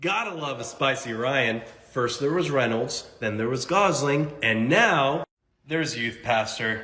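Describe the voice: A man at medium pitch, with lively intonation, a bright, sharp tone and audible room echo. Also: fairly slow pace.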